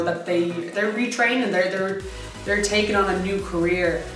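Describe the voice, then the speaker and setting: Clear music and audible room echo surround a woman speaking. She goes at a very fast pace with fairly even intonation. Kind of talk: interview answer. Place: office.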